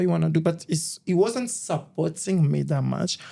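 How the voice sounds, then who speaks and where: A man is speaking. His tone is dark and mellow. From Congo (DRC). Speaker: fashion model. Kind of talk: interview. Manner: halting.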